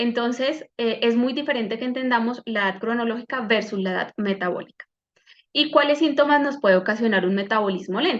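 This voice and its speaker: A woman with a normal speaking voice talks at a fairly quick pace, fairly high in pitch, with ordinary pitch variation. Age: 30s. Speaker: medical doctor and wellness coach. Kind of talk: online health workshop talk.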